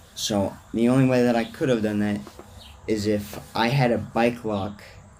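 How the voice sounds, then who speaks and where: Amid noticeable background noise and audible room echo, a man talks at a moderate pace with fairly even intonation. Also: medium pitch for a man. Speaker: vlogger. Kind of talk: casual monologue rant. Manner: rambling tangents, casual.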